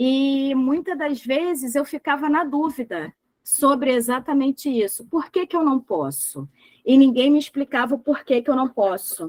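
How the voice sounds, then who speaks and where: A woman talks at a fairly slow pace with a high pitch and ordinary pitch variation. The sound is dry and close, with no echo. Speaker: trainer in medical billing. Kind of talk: online class lecture. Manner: animated.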